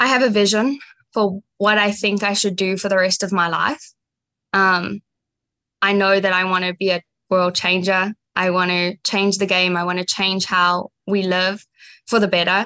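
In a South African accent, a woman of medium pitch with a bright, sharp tone speaks at a moderate pace in a monotone, flat intonation, the sound dry and close with no echo. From South Africa, Johannesburg. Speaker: community college pre-med student. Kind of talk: interview.

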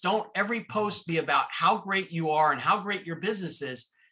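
With an American accent, a man speaks at a moderate pace in a high pitch, with ordinary pitch variation. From Miami, Florida. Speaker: entrepreneur. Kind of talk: interview.

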